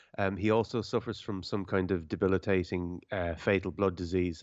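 In a monotone with flat intonation, a man speaks at a very deep, low pitch. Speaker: film critic. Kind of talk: casual chat, film review. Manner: jokey, sarcastic.

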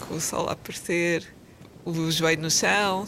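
A woman speaks at an even, moderate speed while noticeable noise fills the background. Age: 30s. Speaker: medical advisor in pharma. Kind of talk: casual chat.

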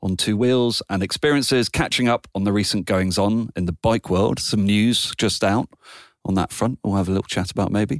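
A man with a British accent speaks at a fairly low pitch. The sound is dry and close with no echo, the recording very clean and the background silent. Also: fairly even intonation, moderate pace, very even loudness. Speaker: podcast host. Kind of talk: casual interview chat.

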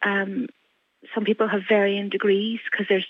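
Moderate pace in a Donegal accent. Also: woman. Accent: Donegal Irish. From Ireland, County Donegal. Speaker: mother seeking housing. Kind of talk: radio interview.

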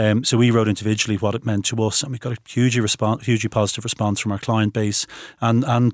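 A man with an Irish accent speaks very fast in a fairly low, monotone, flat voice. The sound is dry and close with no echo, on a very clean recording with a silent background. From Ireland. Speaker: recruitment business founder. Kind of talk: interview. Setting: studio.

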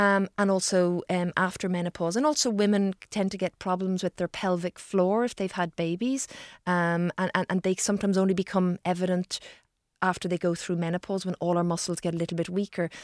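In a dry, close sound with no echo and a very clean recording over a silent background, a woman with an Irish accent speaks at a medium pitch and a fairly quick pace with fairly even intonation. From Ireland. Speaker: gastroenterologist. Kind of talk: radio interview. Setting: studio.

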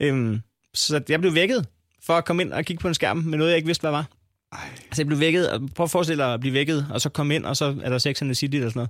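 A man talks at a very fast pace in a fairly high pitch, with ordinary pitch variation. The recording is very clean, with a silent background. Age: 30s. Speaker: comedian and podcaster. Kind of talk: casual chat.

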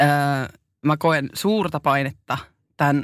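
On a very clean recording with a silent background, a woman speaks very slowly in a very deep, low voice. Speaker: podcast co-host. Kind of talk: personal testimony in casual chat. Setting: studio.

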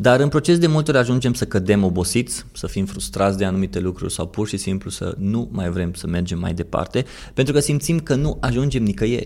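A fairly quick man's voice with vocal fry, fairly low in pitch and swinging very widely up and down. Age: 30s. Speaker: podcast host, marketer. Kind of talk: personal monologue.

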